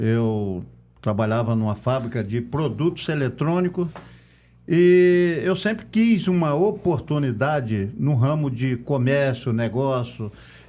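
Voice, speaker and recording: This man has a dark, mellow tone and a medium pitch. He talks at a very slow pace with lively intonation. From Brazil, Campos dos Goytacazes (Rio de Janeiro state). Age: 60s. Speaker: local political candidate. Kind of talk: podcast interview.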